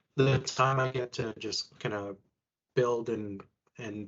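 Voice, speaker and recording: Man's voice with fairly even intonation. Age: 30s. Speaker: furniture assembler and retail team lead. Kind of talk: interview.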